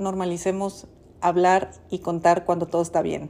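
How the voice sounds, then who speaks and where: The woman's tone is dark and mellow, and she keeps a moderate pace. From Mexico, Sonora (Ciudad Obregón). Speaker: podcast host, personal finance educator. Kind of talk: solo monologue, personal reflection.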